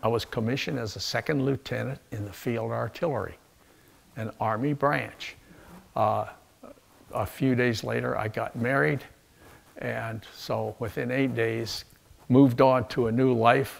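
A man speaks at a fairly slow pace with vocal fry, ordinary pitch variation, and long, frequent pauses. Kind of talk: interview answer. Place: home room.

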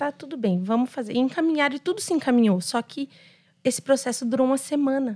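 Against a quiet background, a woman speaks at a high pitch in a dark, mellow tone, with lively intonation and a fairly quick pace. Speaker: pastor's wife and manicurist; pastor's wife. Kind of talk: casual chat. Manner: talkative, lively. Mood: cheerful, animated storytelling. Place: studio. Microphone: studio mic.

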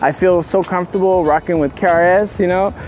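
Against faint background noise, a man speaks at a fairly quick pace in a high voice with fairly even intonation and a slightly mellow tone.

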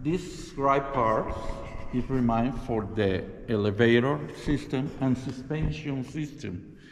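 Over light background noise, a man speaks with a non-native accent. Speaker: Airbnb host. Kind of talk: guided tour. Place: tunnel cave. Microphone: phone near.

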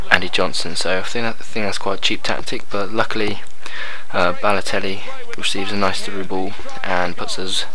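Over noticeable background noise, a man talks at a moderate pace and a fairly low pitch, the sound dry with no echo. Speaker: gaming commentator. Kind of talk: video game commentary. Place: home room.

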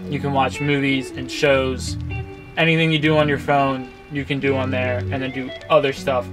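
A man talking at a moderate pace over clear background music. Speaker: van life creator. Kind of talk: tutorial. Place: car.

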